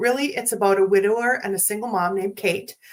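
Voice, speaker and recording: A woman speaks at a medium pitch. Her pace is fairly quick. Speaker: movie reviewer, podcaster. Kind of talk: solo movie review. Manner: casual, some stumbles and self-corrections.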